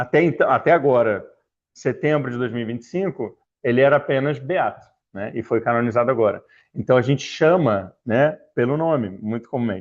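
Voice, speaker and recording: Fairly quick speech from a man with a Rio de Janeiro accent, ordinary pitch variation, over a quiet background. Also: medium pitch for a man. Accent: carioca. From Rio de Janeiro, Brazil (Niterói). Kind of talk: talk to a religious formation group. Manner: casual, hesitant with fillers.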